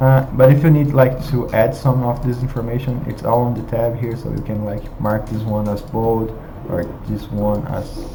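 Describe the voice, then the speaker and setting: Through audible room echo and noticeable background noise, a man with a non-native accent speaks at a fairly slow pace, with a medium pitch and fairly even intonation. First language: not English. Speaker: software tutorial presenter. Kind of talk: screen-share tutorial. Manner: halting, many fillers.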